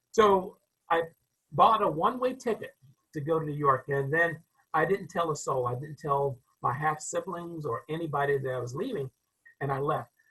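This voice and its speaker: A man with a North Carolina accent speaks at a moderate pace, his pitch fairly high for a man. His tone is bright and sharp, the intonation lively, and he leaves long, frequent pauses. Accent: Southern US, North Carolina. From US South, rural North Carolina (Enfield). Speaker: crowd safety expert and author. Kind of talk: interview storytelling. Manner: hesitant, with fillers.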